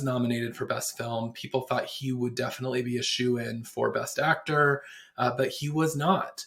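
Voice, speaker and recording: The intonation stays fairly even, with noticeable background noise behind the voice. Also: man. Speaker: pop culture podcast host. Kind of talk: solo podcast commentary. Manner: casual, with frequent fillers.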